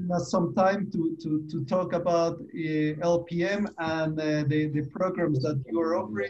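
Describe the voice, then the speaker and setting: Against light background noise, a man with a Spanish accent talks at a fairly slow pace in a high pitch with ordinary pitch variation. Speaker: university lecturer. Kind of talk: webinar moderation. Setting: video call. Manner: halting. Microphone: video call.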